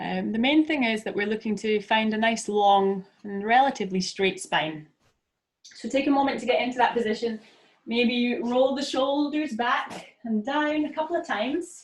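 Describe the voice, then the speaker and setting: A woman with a Scottish accent speaks at a high pitch in a calm tone with lively intonation. Her pace is moderate. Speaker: yoga teacher. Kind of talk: guided yoga class instruction. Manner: calm, encouraging.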